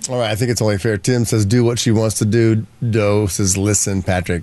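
Fairly quick in pace, a man talks at a fairly low pitch. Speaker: radio host. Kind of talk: casual chat. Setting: studio. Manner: animated.

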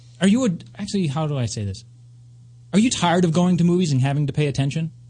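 A man is speaking. His voice is somewhat breathy. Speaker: radio host. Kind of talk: casual chat. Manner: animated.

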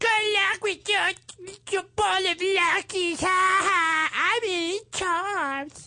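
In a put-on character voice, a female-sounding speaker talks at an extremely high pitch and a very slow pace. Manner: mocking, bratty.

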